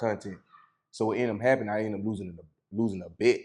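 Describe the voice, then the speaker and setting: This man talks at a very fast pace. He has an American accent. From rural Georgia, US South. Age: 30s. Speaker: stand-up comedian. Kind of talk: casual podcast interview. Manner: animated.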